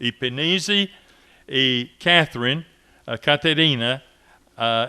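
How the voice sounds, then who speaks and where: A man's voice sits at a medium pitch. He talks at a very slow pace. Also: ordinary pitch variation. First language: English (speaking Portuguese). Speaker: missionary. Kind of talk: commemorative speech. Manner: halting.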